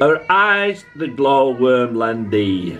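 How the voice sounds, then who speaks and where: A man with a Yorkshire accent, very slow, with very wide pitch swings over faint background music. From Yorkshire, England. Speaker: amateur poetry reader. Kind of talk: poetry reading. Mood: calm, tender recital. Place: home room. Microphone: phone near.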